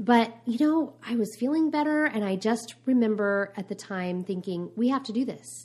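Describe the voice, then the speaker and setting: Somewhat breathy and fairly high-pitched, a woman speaks with lively intonation on a very clean recording with a silent background. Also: moderate pace. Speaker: homeschooling podcast co-host. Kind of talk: casual chat. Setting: in a car.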